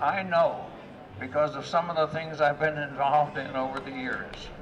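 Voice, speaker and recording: A man talks with fairly even intonation. Noticeable background noise runs behind him. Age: 80s+. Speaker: activist. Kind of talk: public speech at a rally. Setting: outdoors. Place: street. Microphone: podium.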